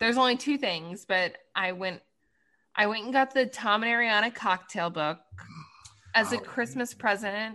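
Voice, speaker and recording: A woman with an American accent speaks in a bright, sharp, fairly high voice with ordinary pitch variation. Her pace is moderate with long, frequent pauses, and the background is quiet. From Washington DC area. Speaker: podcast co-host. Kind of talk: casual chat.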